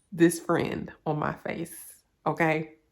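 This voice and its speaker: The speech moves at a very slow pace with music in the background. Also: woman. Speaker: hair vlogger. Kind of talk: casual vlog update.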